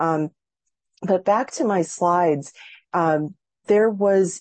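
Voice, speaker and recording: A woman at a fairly slow pace, with ordinary pitch variation and an unremarkable speaking voice. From Massachusetts, US. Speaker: professor and author. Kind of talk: lecture. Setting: video call.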